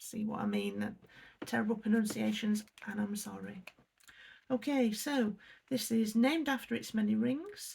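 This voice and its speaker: A woman with an English accent speaks at a fairly slow pace. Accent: English accent, noticeable. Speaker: unboxing youtuber. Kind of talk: casual unboxing review. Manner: hesitant, many fillers.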